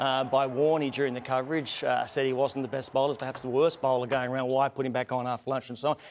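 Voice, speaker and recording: In an Australian accent, the words come at a very fast pace with hardly any pauses. Noticeable background noise runs underneath. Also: man, medium pitch for a man. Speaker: sports show host. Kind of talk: live sports panel show banter. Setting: studio. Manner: animated, jokey.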